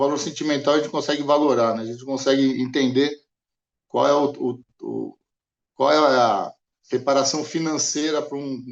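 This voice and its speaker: Speaking with a fairly high pitch, a man keeps to a moderate pace. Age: 60s. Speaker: insurance customer. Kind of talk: interview testimony. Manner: halting, many repetitions.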